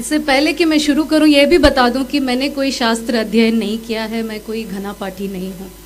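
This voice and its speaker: Against noticeable background noise, a woman with a high pitch speaks at a moderate pace with hardly any pauses, ordinary pitch variation and big swings in loudness. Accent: Tamil. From India, Tamil Nadu (Madurai). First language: Tamil (speaking Hindi). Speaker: civil servant. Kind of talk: speech at a cultural event. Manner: formal, bookish Hindi.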